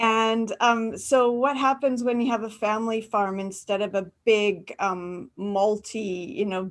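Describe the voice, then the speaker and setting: This woman has a normal speaking voice and a fairly slow pace. Her intonation is fairly even. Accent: Canadian. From Canada, rural farming area. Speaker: university academic presenter. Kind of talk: webinar panel answer. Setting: video call.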